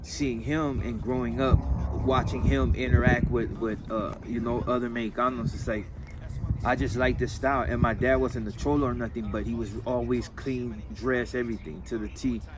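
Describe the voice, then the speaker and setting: A man speaks at a moderate pace in an American accent. There is noticeable background noise and audible room echo. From San Fernando Valley, Los Angeles. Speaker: interviewee, gang member and clothing designer. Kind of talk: casual interview.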